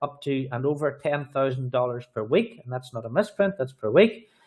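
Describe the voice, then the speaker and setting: Lively in intonation, a man talks at a very fast pace with a fairly high pitch. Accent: Irish. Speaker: sales trainer and business presenter. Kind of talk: sales pitch.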